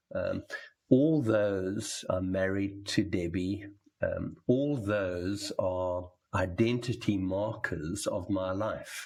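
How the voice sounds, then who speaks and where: Speaking at a very slow pace, a man has a fairly low, somewhat breathy voice. His pitch varies in an ordinary way. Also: very clean recording, silent background. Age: 70s. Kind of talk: conversation about faith. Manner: hesitant, with many ums.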